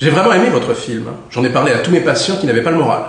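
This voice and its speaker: Noticeable background noise runs through the clip. A man's voice comes through over it. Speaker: actor. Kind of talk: audiobook reading.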